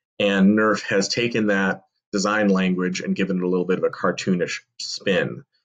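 A man's fairly low voice at a moderate pace over a quiet background. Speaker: toy blaster reviewer. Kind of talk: commentary. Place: home room. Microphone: webcam.

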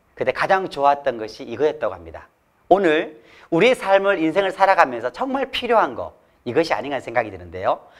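A man talks at a fairly quick pace over a quiet background. His pitch swings very widely and his loudness rises and falls a lot. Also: fairly high pitch for a man. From South Korea. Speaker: laughter therapist; laughter coach, lecturer. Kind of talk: motivational talk. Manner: animated. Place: studio. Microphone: lapel.

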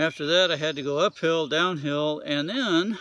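A man talks at a moderate pace in a bright, sharp tone. His intonation is fairly even, and the sound is dry with no echo. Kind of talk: casual vlog chat. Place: forest. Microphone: phone near.

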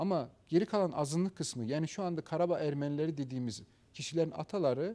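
A man with a fairly high pitch and a dark, mellow tone speaks at a fairly quick pace. His intonation is lively. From Azerbaijan, Karabakh; Azerbaijan. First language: Azerbaijani (speaking Turkish). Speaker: professor. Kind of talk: interview. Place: studio. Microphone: lapel.

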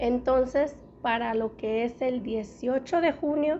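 A woman speaks at a slow pace with a high pitch and ordinary pitch variation. Her tone is dark and mellow.

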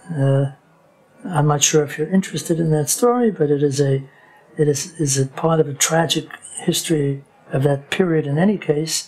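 A man's fairly high voice at a moderate pace, with ordinary pitch variation and faint music in the background. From New York (Lower East Side), born in Germany; New York. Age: 80s+. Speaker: rabbi. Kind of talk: interview, life story. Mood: reflective, sometimes wry. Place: home room. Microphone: lapel.

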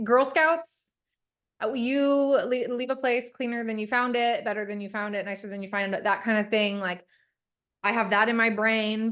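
This woman's fairly high voice moves at a moderate tempo, its pitch varying in an ordinary way. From Ohio (Dayton). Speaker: school board program alumna, nonprofit founder. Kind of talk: interview. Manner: loud.

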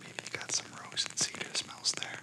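A soft-spoken man whispers in a calm tone at a fairly slow pace. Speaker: relaxation video host. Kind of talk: calm guided meditation talk. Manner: soft, calm ASMR whisper. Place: home room.

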